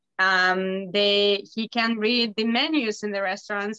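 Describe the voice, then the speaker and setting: With a Russian accent, a woman speaks at a fairly high pitch in a bright, sharp tone, and the sound is dry and close with no echo. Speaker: bookbinder's wife. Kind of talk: casual chat.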